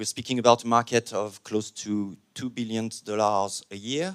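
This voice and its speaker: On a very clean recording with a silent background, a man with a French accent speaks fairly slowly at a medium pitch with ordinary pitch variation. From France. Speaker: panel moderator. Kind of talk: conference panel introduction. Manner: hesitant, many fillers.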